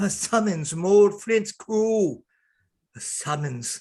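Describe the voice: A man puts on a character voice, high in pitch yet dark and mellow in tone. He speaks at a slow pace with lively intonation.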